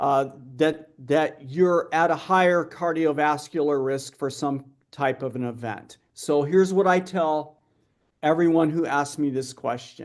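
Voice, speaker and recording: Over a quiet background, a man speaks at a fairly slow pace in an ordinary speaking voice. His pitch is fairly high, with fairly even intonation. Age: 60s. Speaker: metabolic health researcher. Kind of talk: conference Q&A. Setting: live-streamed conference.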